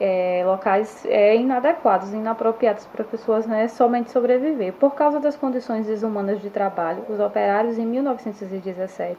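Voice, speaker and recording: A woman's fairly high voice at a moderate pace, with ordinary pitch variation, hardly any pauses and noticeable background noise. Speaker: schoolteacher. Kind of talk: online history lesson. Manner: halting, with fillers and self-corrections.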